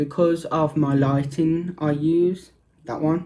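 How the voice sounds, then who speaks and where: A man's fairly high-pitched voice carries a dark, mellow tone and fairly even intonation. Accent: Birmingham. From Birmingham, England. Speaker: makeup vlogger. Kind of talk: makeup tutorial and review. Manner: speaking up louder.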